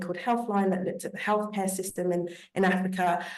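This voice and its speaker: Speaking at a fairly quick pace with a British accent, a woman at medium pitch keeps her intonation fairly even while audible room echo surrounds her. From Britain. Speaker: panelist, diaspora professional. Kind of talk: panel discussion.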